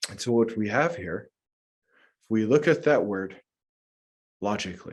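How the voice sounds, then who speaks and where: A man with a plain, everyday voice and medium pitch talks at a moderate pace with an American accent, lively intonation and big swings in loudness against a quiet background. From US Midwest, north central Minnesota. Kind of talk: lecture.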